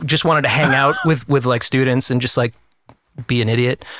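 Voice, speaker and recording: A man with an American accent speaks in a plain, everyday voice, medium in pitch with fairly even intonation. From US Northeast (New Hampshire). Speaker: actor. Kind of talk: casual chat.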